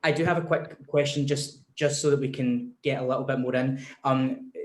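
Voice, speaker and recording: A man with a Scottish accent, somewhat breathy, fairly high-pitched, flat and monotone, at a moderate pace. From Scotland. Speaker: discussion moderator. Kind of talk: panel discussion.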